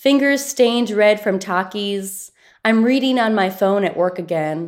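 A woman with a plain, everyday voice and a medium pitch speaks at a moderate pace with ordinary pitch variation. The recording is very clean, with a silent background. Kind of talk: poetry reading.

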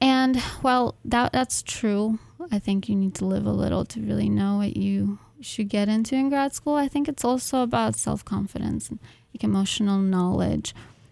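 Speaking at a moderate pace, a woman talks with a Russian accent. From Ukraine and South America. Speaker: graduate student poet. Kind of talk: radio interview.

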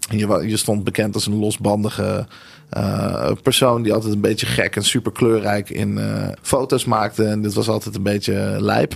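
A man talks with a fairly low pitch and vocal fry. His pace is moderate. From Netherlands (Nieuwegein), born in Tel Aviv. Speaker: creative entrepreneur, marketing and branding strategist. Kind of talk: interview. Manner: hesitant, many fillers.

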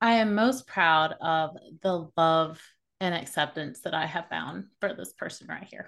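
A woman with an ordinary speaking voice talks at a fairly slow pace at a fairly low pitch, with lively intonation and big swings in loudness over a quiet background. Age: 40s. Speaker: podcast host and marketing business owner. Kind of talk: casual chat.

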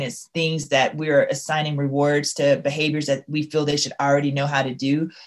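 A woman with a Southern US accent talks at a fairly quick pace with a very deep, low pitch. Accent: faint Southern. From Louisiana, US South. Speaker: school leader and author. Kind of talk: interview.

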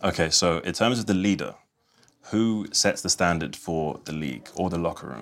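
With a British accent, a man speaks in a very deep, low voice. His intonation is lively and his pace moderate. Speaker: sports presenter. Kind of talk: casual interview. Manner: upbeat.

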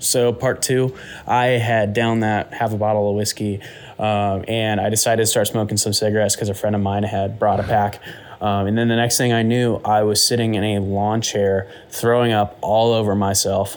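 A man talks at a moderate pace in a fairly low pitch, with a monotone, flat intonation. His loudness stays very even over noticeable background noise. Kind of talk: casual chat.

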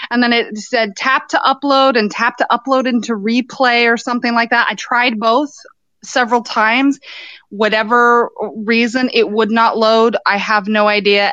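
With a plain, everyday voice, a woman speaks at a moderate pace and fairly high pitch, her intonation fairly even and the sound dry and close with no echo. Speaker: podcaster calling in. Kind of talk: casual chat. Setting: phone call.

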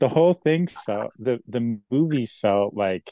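A plain, everyday voice from a man, fairly slow with lively intonation, in a dry, close sound with no echo. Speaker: hip-hop artist. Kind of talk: casual chat.

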